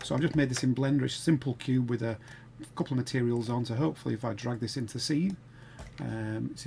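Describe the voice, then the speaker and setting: A man talks very fast in a Sheffield accent, with a dark, mellow tone, vocal fry and ordinary pitch variation. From northern England, Sheffield. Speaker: game development tutor. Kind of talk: tutorial. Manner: casual, hesitant with fillers.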